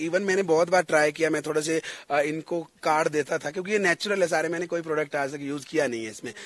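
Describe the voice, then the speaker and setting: A man speaks at a fairly high pitch, his voice dry and close with no echo. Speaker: singer and stage anchor. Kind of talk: interview.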